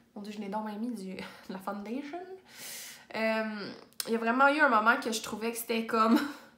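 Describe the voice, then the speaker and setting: A woman with a Quebec accent talks at a moderate pace with ordinary pitch variation and long, frequent pauses. Her loudness swings widely, and the room echo is audible. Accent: Québécois French. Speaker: booktuber; book vlogger. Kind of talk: casual chat. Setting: home office. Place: home room. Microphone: phone near.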